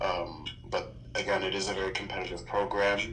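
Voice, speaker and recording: Set against noticeable background noise and audible room echo, a man speaks in a calm tone at a fairly low pitch. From Canada, Toronto. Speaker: iconographer and painter. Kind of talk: interview.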